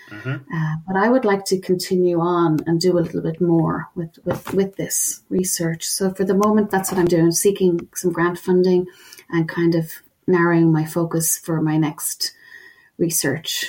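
A woman's fairly low voice with an Irish accent. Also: fairly even intonation, moderate pace. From Ireland, Dublin. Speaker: professor, forensic researcher. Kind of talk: interview.

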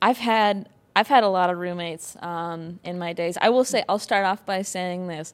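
Recorded very cleanly with a silent background, a woman uses an ordinary speaking voice at a moderate pace with fairly even intonation. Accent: American. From Wisconsin. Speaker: comedian and actress. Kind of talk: casual comedic chat.

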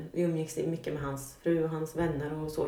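A woman with a very deep, low voice speaks at a fairly quick pace over noticeable background noise, with audible room echo. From Sweden, Norrköping. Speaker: guest sharing life story. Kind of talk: personal testimony in interview.

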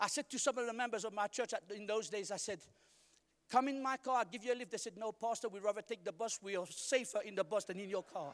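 The recording is dry and close with no echo as a man speaks very fast in an animated tone at a high pitch. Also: ordinary pitch variation. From Mauritius. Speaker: guest preacher. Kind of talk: sermon to a congregation, in full flow. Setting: church stage in front of a live congregation. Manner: animated, call-and-response, urging the crowd to shout 'say amen'; rhythmic, repeats words and tosses in jokes.

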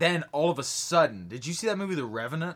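A man's animated voice at a moderate pace, with lively intonation. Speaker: podcast host. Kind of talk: casual comedic banter brainstorming a movie idea. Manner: animated, joking, talks over partner.

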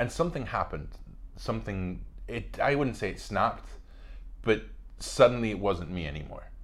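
A man with a Spanish accent speaks with long, frequent pauses in a room with audible echo. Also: moderate pace. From Spain, Madrid. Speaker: actor. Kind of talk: casual chat.

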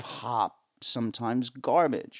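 A man's medium-pitched voice with a New Jersey accent, very slow and full of lively intonation, in a very clean recording with a silent background. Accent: New Jersey American. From US, northern New Jersey. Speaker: sound engineer and drummer. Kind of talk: casual interview chat. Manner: talkative.

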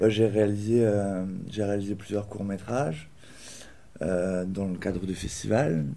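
In a room with audible echo, a man speaks very slowly with long, frequent pauses, in a dark, mellow tone at a fairly low pitch and with fairly even intonation. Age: 20s. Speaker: aspiring entrepreneur, video director. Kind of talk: interview testimony. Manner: casual.

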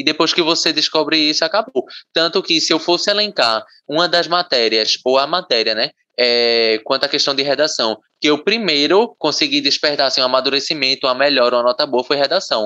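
A man with a bright, sharp tone at a fairly high pitch, with lively intonation, very even loudness and a fairly quick pace, in a dry, close sound with no echo. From Pernambuco, Brazil (Camaragibe). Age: young. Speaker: university student. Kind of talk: casual interview.

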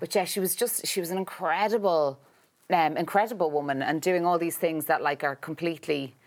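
A normal speaking voice at a fairly quick pace, on a very clean recording with a silent background. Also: woman, fairly low pitch for a woman, ordinary pitch variation. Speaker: actress and writer. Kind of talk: casual interview chat. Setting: studio.

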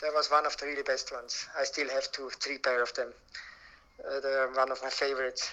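This man has a Swiss German accent and a fairly high pitch. He talks at a fairly quick pace in a monotone, flat intonation. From Switzerland, Alpine village in Graubuenden. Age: 50s. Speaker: denim collector and museum founder. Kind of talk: interview.

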